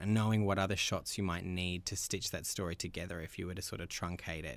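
Talking at a very fast pace, a man uses an Australian accent and a very deep, low pitch with ordinary pitch variation. The recording is very clean, with a silent background. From Australia, Melbourne. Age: 30s. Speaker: documentary filmmaker. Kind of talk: interview.

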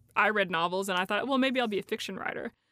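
This woman has a bright, sharp tone. Her pitch varies in an ordinary way. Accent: Appalachian. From East Tennessee, Appalachia. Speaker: poet. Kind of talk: interview about her poetry.

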